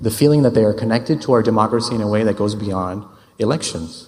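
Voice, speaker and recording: There is audible room echo as a man talks at a fairly quick pace. His pitch is medium, with ordinary pitch variation. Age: 30s. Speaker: urban planner. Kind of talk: conference talk.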